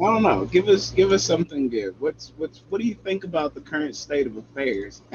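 Speaking at a fairly quick pace with hardly any pauses, this man has an American accent, a somewhat breathy, fairly high voice for a man, and very wide pitch swings. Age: 20s. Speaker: podcast host. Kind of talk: casual chat.

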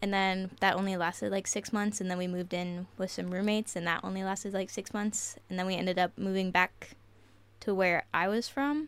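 In an ordinary speaking voice, a woman with an American accent talks at a medium pitch and a fairly quick pace. Her intonation is fairly even, and the recording is very clean with a silent background. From southeastern Ohio. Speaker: military service member and podcast team member. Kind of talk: casual chat.

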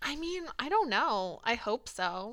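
This woman's voice has vocal fry, captured on a very clean recording against a silent background. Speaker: podcast host, PhD student. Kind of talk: casual chat. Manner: animated, casual, many filler words.

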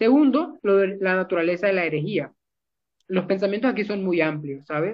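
This man talks at a fairly quick pace. His pitch is high. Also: lively intonation. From Colombia, Barranquilla. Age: young. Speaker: theology student and translator. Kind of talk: theological discussion.

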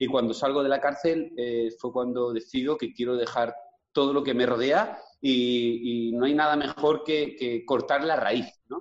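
At a fairly slow pace, a man talks in an ordinary speaking voice of medium pitch, his intonation fairly even. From Spain, Villarreal (Castellón). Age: 40s. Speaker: fitness coach. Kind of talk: interview.

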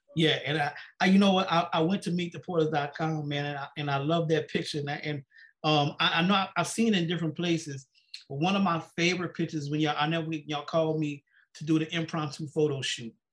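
Very fast male speech at a fairly high pitch, fairly even in intonation, against a quiet background. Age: 50s. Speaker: podcast host. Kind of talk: casual chat. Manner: halting.

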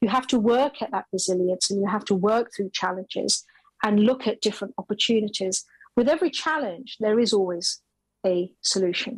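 A woman in a normal speaking voice, fairly high in pitch, at a fairly quick pace. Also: ordinary pitch variation. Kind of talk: interview conversation.

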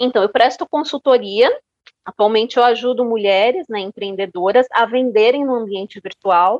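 A woman speaks with a plain, everyday voice at a fairly high pitch. Her pitch variation is ordinary and her pace moderate. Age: 40s. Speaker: marketing consultant. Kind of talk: interview.

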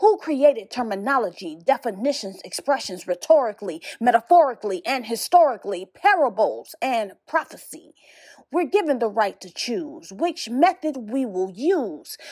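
A woman with a high voice speaks at a moderate pace, her pitch swinging very widely and her loudness shifting a lot. The recording is very clean, with a silent background. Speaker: spoken word poet. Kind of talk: spoken word poem, rhythmic rhyming verse delivered as a solemn, preacher-like reflection. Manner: measured and cadenced, rhetorical questions delivered with rising intensity; earnest and admonishing, warning in a grave tone.

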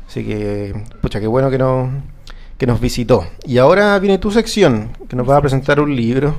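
A man speaks at a moderate pace with a medium pitch. His intonation is lively. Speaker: podcast co-host. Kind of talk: casual chat.

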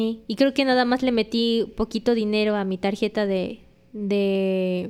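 At a fairly slow pace, a woman speaks with a fairly high pitch. Hers is an ordinary speaking voice with ordinary pitch variation. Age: 20s. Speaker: Japanese teacher. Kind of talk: casual interview.

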